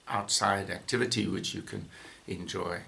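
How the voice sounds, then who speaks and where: A man's bright, sharp tone with vocal fry, at a fairly slow pace, amid audible room echo. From South Africa, Johannesburg. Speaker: falconer and former veterinarian. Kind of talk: interview. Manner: halting, many fillers.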